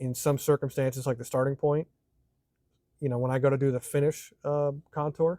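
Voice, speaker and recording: In a dry, close sound with no echo, a man speaks at a fairly quick pace and fairly high pitch. His tone is dark and mellow, his intonation monotone and flat. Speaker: machinist. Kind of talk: tutorial. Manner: fast.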